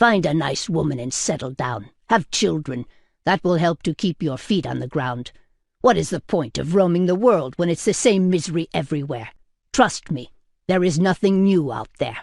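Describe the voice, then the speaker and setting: This put-on character voice is gruff and growling, set at a middle pitch. The pace is moderate. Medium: read story. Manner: gruff, blunt, intimidating.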